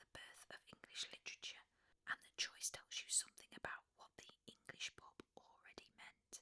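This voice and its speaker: The voice is whispering. It keeps a moderate pace. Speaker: sleep story narrator. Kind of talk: sleep story.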